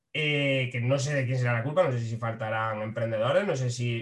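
A man's somewhat breathy voice, medium in pitch, at a fairly quick pace. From Spain, Frailes, Jaén province. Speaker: comedian. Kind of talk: casual chat. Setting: video call.

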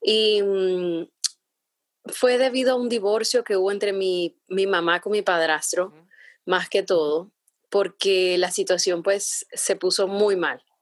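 Her loudness swinging widely, a woman speaks very slowly at medium pitch with fairly even intonation on a very clean recording with a silent background. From Honduras, San Pedro Sula. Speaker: entrepreneur. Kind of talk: interview.

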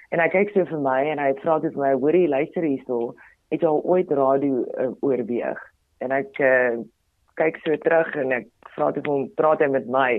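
A woman in a Botswana accent speaks with a very deep, low pitch. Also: ordinary pitch variation. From South Africa, Potchefstroom (Ikageng), North West. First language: Tswana (speaking Afrikaans). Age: 30s. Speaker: radio presenter and TV personality. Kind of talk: interview conversation. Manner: animated.

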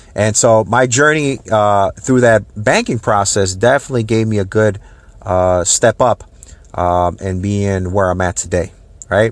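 An ordinary speaking voice from a man, fairly low in pitch, with ordinary pitch variation and a fairly slow pace. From Minnesota, Saint Paul/Minneapolis. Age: 30s. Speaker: real estate agent. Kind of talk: podcast monologue. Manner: casual with many fillers.

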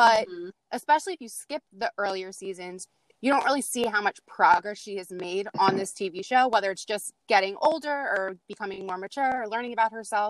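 Recorded with a dry, close sound and no echo, a woman talks at a very fast pace at medium pitch, with ordinary pitch variation. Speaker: guest chatting about TV shows. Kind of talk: casual chat. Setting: outdoors.

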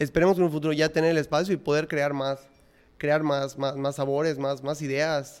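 On a very clean recording with a silent background, a man talks at a moderate pace in a fairly high, monotone voice with flat intonation. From Yucatán, Mexico (Mérida). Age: 20s. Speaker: ice cream entrepreneur. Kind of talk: casual interview.

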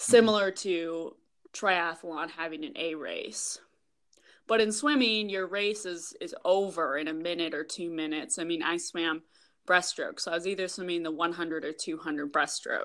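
With an American accent, a woman talks at a moderate pace in a fairly low pitch, her pitch varying in an ordinary way. It is an unremarkable speaking voice, set against a quiet background. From Minnesota. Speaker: professional triathlete. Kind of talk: casual interview.

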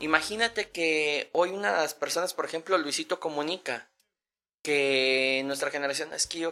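Fairly high-pitched for a man, a normal speaking voice moves at a moderate pace with ordinary pitch variation. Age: 40s. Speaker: podcast guest. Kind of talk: casual chat.

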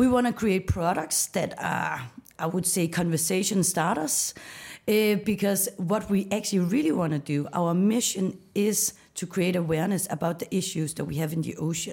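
A woman with a Danish accent and ordinary pitch variation. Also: medium pitch for a woman, moderate pace. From Denmark, west coast of Jutland. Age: 30s. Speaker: startup founder. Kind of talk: interview.

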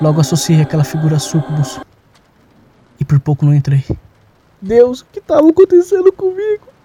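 Over background music, a man with a nervous tone speaks at a fairly quick pace with long, frequent pauses, the sound dry and close with no echo. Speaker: audio drama narrator. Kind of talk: dramatic horror narration, first-person confessional tale with sound design. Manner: halting and shaky, with nervous laughter and repeated phrases.

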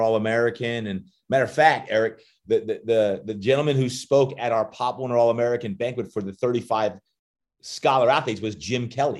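An animated man talks at a fairly quick pace and medium pitch with ordinary pitch variation, on a very clean recording with a silent background. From New Jersey, Jersey Shore. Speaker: strength coach and motivational speaker. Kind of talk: interview.

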